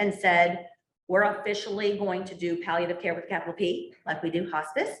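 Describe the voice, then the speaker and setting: A woman with a medium-pitched voice speaks at a moderate pace with ordinary pitch variation, and audible room echo fills the recording. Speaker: nurse and palliative care leader. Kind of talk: presentation with Q&A.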